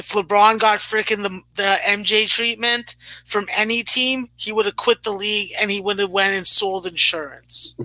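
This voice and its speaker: High in pitch, a man's voice is raised and projected. He goes at a fairly slow pace with fairly even intonation. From Canada. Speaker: sports betting podcast co-host. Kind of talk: casual chat.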